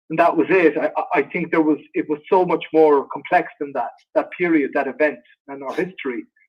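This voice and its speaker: Here a man talks in an Irish accent. His pace is fairly quick. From Ireland. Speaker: actor. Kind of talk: interview Q&A.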